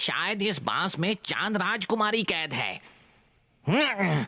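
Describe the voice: A cartoonish character voice from a man, high-pitched and at a fairly slow pace.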